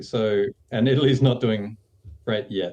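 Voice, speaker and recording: With an Australian accent, a man talks at a moderate pace with ordinary pitch variation. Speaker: screenwriter. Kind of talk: interview.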